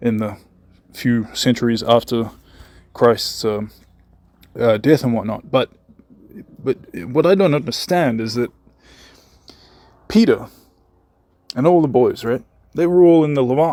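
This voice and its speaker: Lively in intonation, a man with a New Zealand accent, medium pitch, and a dark, mellow tone speaks at a fairly slow pace with long, frequent pauses. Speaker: conspiracy channel host. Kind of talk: recorded voice message. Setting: voice message.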